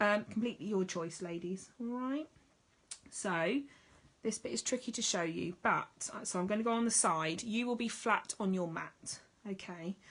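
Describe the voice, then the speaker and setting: Speaking at a moderate pace with an English accent, a woman uses a medium pitch and ordinary pitch variation. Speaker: needle felting teacher. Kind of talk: tutorial. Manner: casual, chatty.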